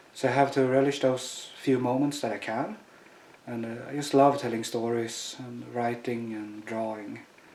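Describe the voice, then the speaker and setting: A man at a medium pitch and moderate pace, monotone and flat in intonation, with big swings in loudness, noticeable background noise and audible room echo. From Sweden. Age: 30s. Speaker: chronic pain patient. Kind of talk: testimony. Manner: halting, many fillers.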